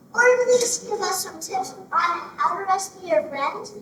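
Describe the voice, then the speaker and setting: A squeaky, extremely high put-on character voice at a moderate pace, with slight echo. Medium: stage play. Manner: chatty, naive.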